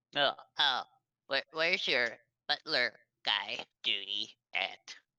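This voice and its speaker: Using a put-on character voice, a man of medium pitch talks at a fairly slow pace. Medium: actual play.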